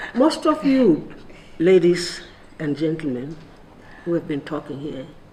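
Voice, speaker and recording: A woman with a Lesotho accent speaks at a fairly slow pace and fairly low pitch, with lively intonation and big swings in loudness. Noticeable background noise can be heard. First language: Sesotho. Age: 80s+. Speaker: retired civil servant and activist. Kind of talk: roundtable speech. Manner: halting.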